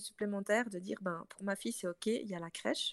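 In a very clean recording with a silent background and a dry, close sound with no echo, a woman talks at a fairly quick pace in an ordinary speaking voice, with a medium pitch and ordinary pitch variation. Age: 30s. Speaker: entrepreneur. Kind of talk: casual chat.

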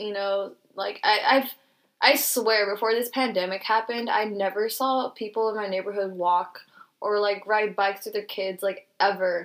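A woman with a normal speaking voice talks at a moderate pace and medium pitch, recorded very cleanly against a silent background. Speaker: podcast co-host. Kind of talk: casual chat. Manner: casual, upbeat, slangy.

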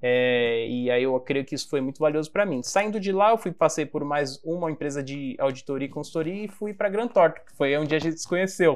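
A man with a normal speaking voice, fairly high in pitch, talks at a fairly quick pace with hardly any pauses, lively intonation and big swings in loudness. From Brazil, Baixada Santista (Guarujá, São Paulo coast). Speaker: design company CEO. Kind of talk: casual interview.

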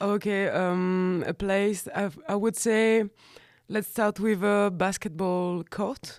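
Very slowly, a woman speaks with a French accent, her pitch medium and her intonation fairly even. Her loudness stays very even in a very clean recording with a silent background. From France. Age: 30s. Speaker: graphic designer and fanzine maker. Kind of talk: casual interview chat. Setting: radio studio, live recording.

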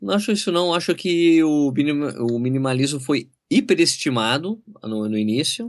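Hardly pausing, a man talks at a moderate pace in a fairly high pitch with very wide pitch swings. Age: 40s. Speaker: running YouTuber and journalist. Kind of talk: casual interview chat.

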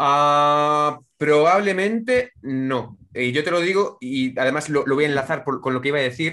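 Speaking with a Castilian accent, a man with a fairly high pitch talks at a fairly slow pace with ordinary pitch variation and hardly any pauses. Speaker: online game player. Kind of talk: casual chat.

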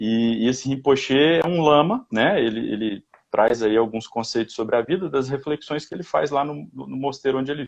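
The speech moves at a moderate pace with hardly any pauses and ordinary pitch variation. Its loudness swings widely. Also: man, medium pitch for a man. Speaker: personal development commentator. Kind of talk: casual chat.

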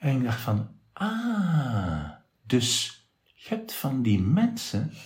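Somewhat breathy, a man talks with very wide pitch swings. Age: 50s. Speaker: radio presenter. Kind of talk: casual interview. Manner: clear, articulate.

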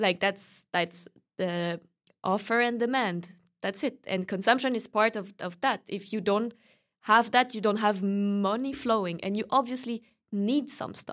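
A woman with a French accent speaks at a fairly slow pace in a fairly high pitch with ordinary pitch variation, captured in a very clean recording with a silent background. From France. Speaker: student. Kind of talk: casual interview conversation.

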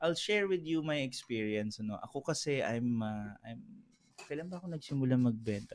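A man with an unremarkable speaking voice, medium-pitched, talking fairly quickly with lively intonation. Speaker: entrepreneur. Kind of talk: casual chat. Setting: studio.

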